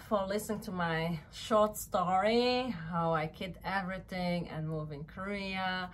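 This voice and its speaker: This is a woman speaking. Her pace is very slow. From Luxembourg. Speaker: vlogger and model. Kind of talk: casual vlog talk to camera. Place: home room. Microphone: camera far.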